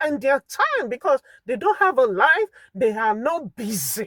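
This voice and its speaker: The speaker has a Nigerian accent. The pace is moderate. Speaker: vlogger and full-time carer. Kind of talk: impassioned monologue. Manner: animated.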